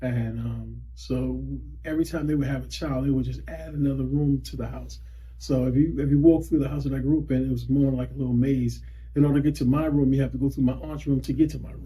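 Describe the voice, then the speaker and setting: Speaking at a very fast pace with an American accent, the voice comes through with audible room echo. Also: man. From US South, Lowcountry South Carolina (Wadmalaw Island, Gullah Geechee). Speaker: school district employee sharing heritage. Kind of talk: interview. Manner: halting, many fillers and restarts.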